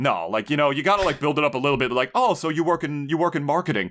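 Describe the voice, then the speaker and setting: Very fast pace from a man with an American accent and a fairly high pitch. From US Northeast, New Jersey. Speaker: podcast co-host. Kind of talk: casual chat. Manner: animated.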